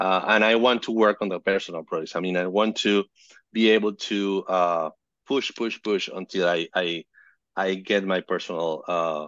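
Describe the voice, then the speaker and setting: This man has a Spanish accent and a very deep, low pitch. He talks at a moderate pace with fairly even intonation. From Venezuela, Caracas. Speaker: photojournalist and fixer. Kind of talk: casual interview. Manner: halting.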